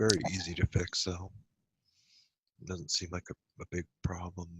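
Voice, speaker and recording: On a very clean recording with a silent background, a man mumbles at a moderate pace in a very deep, low pitch with monotone, flat intonation. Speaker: hypnosis session client. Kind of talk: answers under hypnosis session. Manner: mumbling.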